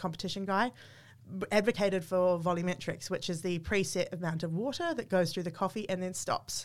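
In a very clean recording with a silent background, a woman with a New Zealand accent speaks at a medium pitch with fairly even intonation. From New Zealand, small town. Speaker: coffee machine brand marketing manager. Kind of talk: casual interview. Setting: in person at a venue.

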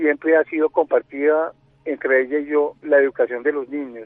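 This is a man talking at a moderate pace. His pitch is fairly high. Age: 40s. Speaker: leukemia patient sharing his story. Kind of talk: radio interview, personal testimony. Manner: halting, many fillers and repetitions.

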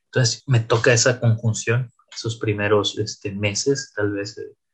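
A man speaks slightly breathily at a medium pitch and a fairly slow pace, his intonation monotone and flat. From Mexico, Tampico, Tamaulipas. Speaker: AI scientist and consultant. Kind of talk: interview. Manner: halting, with many fillers and repetitions.

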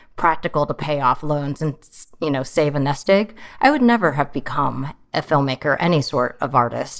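With an American accent, a woman speaks at a moderate pace in a very deep, low pitch against a quiet background. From California, Chinese immigrant family. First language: Mandarin. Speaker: filmmaker. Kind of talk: casual interview chat. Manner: halting, repeats words.

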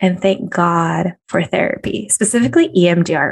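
Fairly slow, fairly low-pitched female speech with vocal fry, in a dry, close sound with no echo. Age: 30s. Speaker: business and career coach, podcast host. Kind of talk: solo podcast monologue, motivational coaching.

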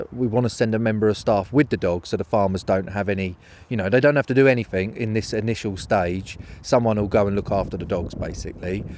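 A man with a southeast English accent, very fast pace, fairly low pitch and fairly even intonation. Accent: south-east English. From southern England, near London. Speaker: falconer. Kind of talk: casual interview on location.

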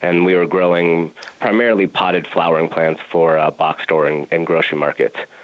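A man with an American accent talks fairly quickly in a very deep, low pitch with fairly even intonation. Noticeable background noise can be heard. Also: very even loudness. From Colorado, Denver. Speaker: cannabis grow operations director. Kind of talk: interview. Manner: halting, many fillers.

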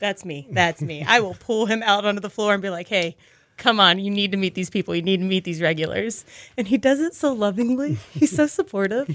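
With an American accent, a woman speaks at a fairly quick pace and a medium pitch. The recording is very clean, with a silent background. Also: lively intonation. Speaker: restaurant manager. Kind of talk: casual interview. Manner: animated.

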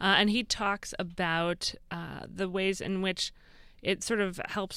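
On a very clean recording with a silent background, a woman with an American accent uses a normal speaking voice, its fairly low pitch kept fairly even. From Massachusetts. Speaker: radio host. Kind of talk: radio interview.

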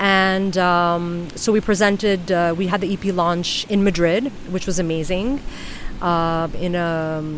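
With a New York accent, a woman speaks fairly slowly at a fairly low pitch and with fairly even intonation over noticeable background noise. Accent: New York American English. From New York City. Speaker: flamenco dancer and singer-songwriter. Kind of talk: casual interview chat. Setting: outdoors on a beach. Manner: halting, many fillers.

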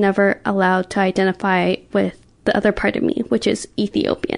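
Speaking at a moderate pace, a woman with an American accent has a medium pitch and an unremarkable speaking voice. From US West Coast, Oakland. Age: 20s. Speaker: podcast guest sharing life story. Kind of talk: personal testimony.

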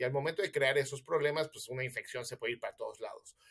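This man speaks with a Mexican accent. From Mexico City. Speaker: physician. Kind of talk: interview, explaining health myths.

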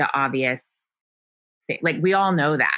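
A woman's very deep, low voice with a bright, sharp tone. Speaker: former journalist and blogger. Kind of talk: casual interview conversation. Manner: calm, measured, not overly passionate.

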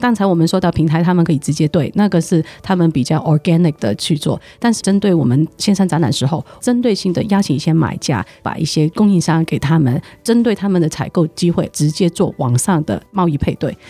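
A woman with a Hong Kong accent speaks at a fairly quick pace with hardly any pauses, her fairly low voice having a dark, mellow tone and lively intonation. Her loudness stays very even, and the sound is dry and close with no echo. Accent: Hong Kong accent in Mandarin. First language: Cantonese (speaking Chinese). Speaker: trade promotion executive. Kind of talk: interview. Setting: studio.

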